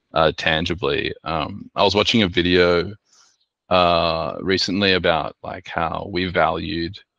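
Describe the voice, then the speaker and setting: Speaking with an Australian accent, a man uses a very deep, low pitch and a bright, sharp tone, keeping a monotone, flat intonation at a fairly slow pace. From Sydney, Australia. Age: 30s. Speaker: artist and designer. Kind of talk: presentation talk with slides. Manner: hesitant, many filler words.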